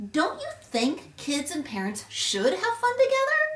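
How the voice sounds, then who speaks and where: A woman's put-on character voice, extremely high in pitch and fairly slow in pace. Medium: read story. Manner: chatty, friendly.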